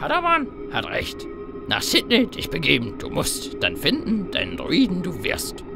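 Loud music plays in the background. Over it, a man speaks at a moderate pace. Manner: inverted word order, solemn.

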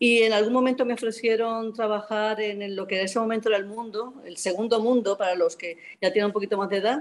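The woman speaks at a very fast pace with hardly any pauses. Her pitch is fairly high and her intonation fairly even. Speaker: journalist and economist; newspaper editor, panelist. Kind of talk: panel talk. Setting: video call. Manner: halting. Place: home room. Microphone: video call.

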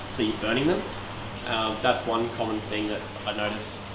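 A man talks with an Australian accent. There is noticeable background noise. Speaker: aquarium hobby demonstrator. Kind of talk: tutorial. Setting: aquarium shop. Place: shop. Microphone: camera far.

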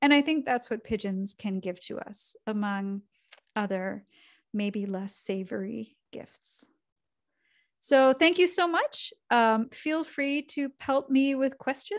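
Over a quiet background, a woman talks very slowly at a high pitch, with big swings in loudness. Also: lively intonation. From Canada. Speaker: cartoonist and author. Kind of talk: lecture. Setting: video call. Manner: soft-spoken. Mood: lively, humorous. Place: home room.

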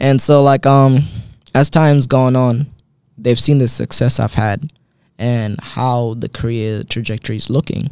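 In a dark, mellow tone, a man speaks at a fairly slow pace with fairly even intonation, the sound dry with no echo and the background quiet. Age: 20s. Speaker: MMA fighter; guest. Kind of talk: casual interview. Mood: calm, reflective. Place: studio. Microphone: studio mic.

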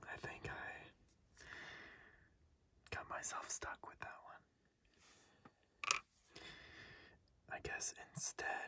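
A man whispers very slowly, with long pauses coming often. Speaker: ASMR creator. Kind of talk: ASMR puzzle-solving whisper video. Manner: whispered, soft-spoken.

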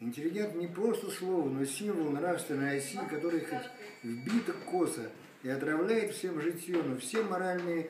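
Over noticeable background noise, a man talks at a moderate pace. His fairly high pitch moves with lively intonation. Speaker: poet. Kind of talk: poetry reading. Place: home room. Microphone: phone near.

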